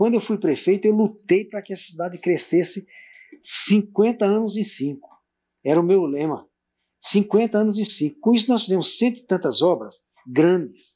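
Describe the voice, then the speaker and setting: A man's voice carries a dark, mellow tone. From Brazilian Northeast. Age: 60s. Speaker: former mayor, local pioneer. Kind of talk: oral history interview. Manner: halting.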